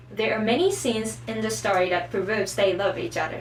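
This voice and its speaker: A woman over noticeable background noise. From Japan. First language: Japanese. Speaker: anime and manga explainer. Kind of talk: casual talk to camera. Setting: poor microphone.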